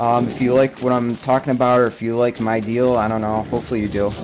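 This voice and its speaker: Noticeable background noise is present. Over it, the words come at a fairly quick pace. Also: man. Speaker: gaming streamer. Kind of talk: let's play commentary. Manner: laid back.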